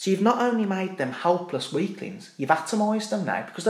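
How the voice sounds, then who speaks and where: A man with a high-pitched voice talks very fast, and the room echo is easy to hear. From Birmingham, England. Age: 30s. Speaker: army veteran. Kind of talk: casual chat. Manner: animated.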